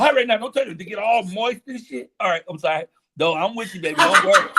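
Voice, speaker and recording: A man's raised, projected, high-pitched voice, bright and sharp, animated, with lively intonation and a very fast pace. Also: big swings in loudness. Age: 60s. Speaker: stand-up comedian. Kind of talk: casual interview chat.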